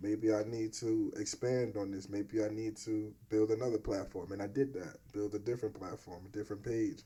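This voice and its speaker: A man with an American accent talks at a moderate pace, with hardly any pauses. His tone is dark, mellow and somewhat breathy, and his intonation is flat and monotone. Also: fairly low pitch for a man. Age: 30s. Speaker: podcast host and videographer. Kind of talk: casual interview chat.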